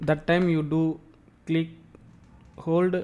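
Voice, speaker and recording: His intonation is monotone and flat. The man's pitch is fairly high. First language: not English. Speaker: tech tutorial youtuber. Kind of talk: tutorial. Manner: halting, repetitive.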